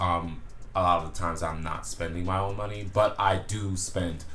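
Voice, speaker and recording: Audible room echo surrounds a man with a very deep, low pitch. His tone is relaxed yet bright and sharp, and his pace is fairly quick. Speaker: men's fashion YouTuber. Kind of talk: casual vlog. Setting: indoors at home, window open. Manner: relaxed, many fillers.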